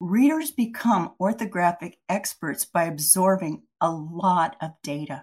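A woman speaks in a fairly low, somewhat breathy voice with ordinary pitch variation. Her pace is fairly slow, with hardly any pauses. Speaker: reading researcher. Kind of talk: educational presentation. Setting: webinar presentation. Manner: formal, explanatory.

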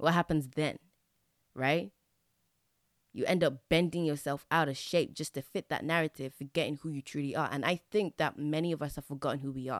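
A woman speaks fairly quickly with an English accent, her very deep, low pitch held in fairly even intonation. The sound is dry and close with no echo, a very clean recording against a silent background. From England. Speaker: podcast host. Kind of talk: solo monologue.

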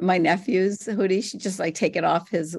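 In an American accent, a woman speaks at a moderate pace with vocal fry against a quiet background. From Morgantown, West Virginia, US. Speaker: journalist and activist. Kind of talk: interview on a livestream.

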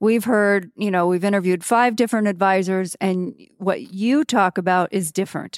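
In a normal speaking voice, a woman talks at a moderate pace and medium pitch with ordinary pitch variation, in a very clean, dry, close recording with a silent background and no echo. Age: 50s. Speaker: financial advisor. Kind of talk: casual chat. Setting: in person.

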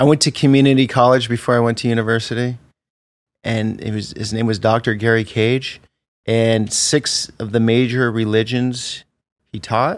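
An American accent from a man at medium pitch, moderate pace and monotone, flat intonation, on a very clean recording with a silent background. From US Northeast, Vermont. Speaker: travel vlogger. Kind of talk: interview.

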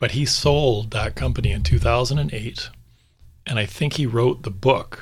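Speaking at a fairly slow pace, a man with a medium pitch shows vocal fry and very wide swings in pitch. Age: 40s. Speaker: real estate and finance podcast host, former car business owner. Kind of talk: casual chat.

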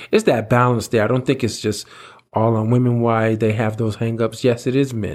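His intonation stays flat and monotone. The man holds a medium pitch and a moderate pace. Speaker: podcast co-host. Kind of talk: casual chat.

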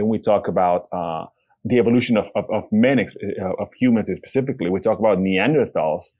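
A man talks at a fairly quick pace. He speaks with a Bolivian accent. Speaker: podcast co-host. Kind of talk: casual chat. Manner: warm, playful.

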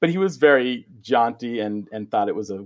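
On a very clean recording with a silent background, the speaker uses a General American accent at a fairly slow pace with ordinary pitch variation. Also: man. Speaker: teacher. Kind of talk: casual interview. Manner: conversational, hesitant, fillers.

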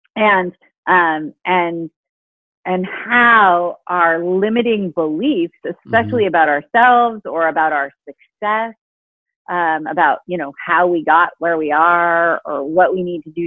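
Here is a plain, everyday voice, belonging to a woman with a fairly low pitch. She goes at a moderate pace. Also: ordinary pitch variation. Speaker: author and happiness expert. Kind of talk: interview conversation.

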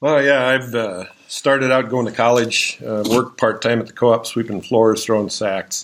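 On a very clean recording with a silent background, a man with an Upper Midwestern accent speaks at medium pitch and a moderate pace in a monotone, flat intonation. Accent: Upper Midwestern American. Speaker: farm co-op general manager. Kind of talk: interview.

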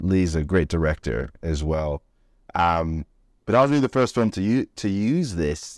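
A man's very deep, low voice with lively intonation, in a dry, close sound with no echo. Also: moderate pace, very clean recording, silent background. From Florida, US. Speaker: filmmaker and podcast co-host. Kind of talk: casual chat. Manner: halting, many fillers.

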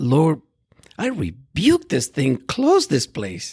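Speaking at a fairly slow pace with a Spanish accent, the voice swings very widely in pitch and sounds somewhat breathy. The recording is very clean, with a silent background and a dry, close sound with no echo. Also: man. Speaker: pastor. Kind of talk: interview.

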